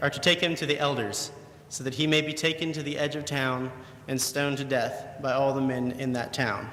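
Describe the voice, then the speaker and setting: In an ordinary speaking voice, a man talks at a fairly quick pace with fairly even intonation and a fairly high pitch. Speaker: preacher giving a sermon. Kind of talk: sermon.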